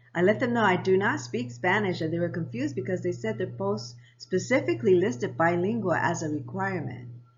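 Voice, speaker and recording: Amid audible room echo, a woman with a very deep, low pitch and vocal fry moves through very wide pitch swings. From Japan, US military family, then Hawaii. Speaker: lifestyle vlogger. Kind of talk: personal storytelling vlog.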